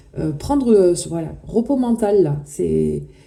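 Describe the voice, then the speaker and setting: This woman's voice is somewhat breathy, with a dark, mellow tone, medium pitch, and a fairly slow pace. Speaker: tarot reader. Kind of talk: tarot reading. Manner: halting.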